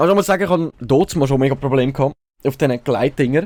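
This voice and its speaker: A man with a Swiss German accent speaks at a fairly high pitch. Music plays in the background. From Switzerland. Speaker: let's play gamer. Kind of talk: casual gameplay commentary.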